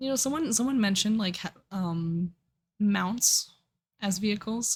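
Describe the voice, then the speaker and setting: Fairly slow, somewhat breathy speech from a woman. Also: medium pitch for a woman, ordinary pitch variation. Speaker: streamer. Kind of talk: casual livestream talk.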